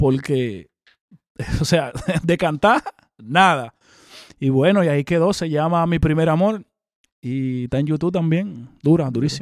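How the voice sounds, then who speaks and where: A man speaks at a fairly slow pace. Long, frequent pauses break up his words. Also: fairly high pitch for a man, ordinary pitch variation. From Dominican Republic. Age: 30s. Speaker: rapper. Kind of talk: interview.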